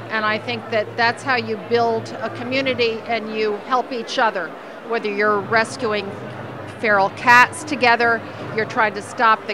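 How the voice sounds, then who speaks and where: Noticeable background noise sits under a woman speaking at a fairly slow pace in dry sound with no echo. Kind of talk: interview answer. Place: hall. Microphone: handheld.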